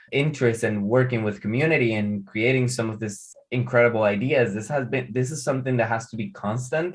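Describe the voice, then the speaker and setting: Against a quiet background, a man with a Spanish accent talks at a medium pitch with ordinary pitch variation. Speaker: artist and art teacher. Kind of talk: interview conversation. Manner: halting, with frequent repetitions.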